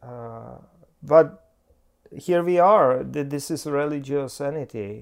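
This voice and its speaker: A man speaks with a non-native accent at a very slow pace. His pitch sits fairly high and varies an ordinary amount. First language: not English. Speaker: pastor. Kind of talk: casual chat. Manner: halting.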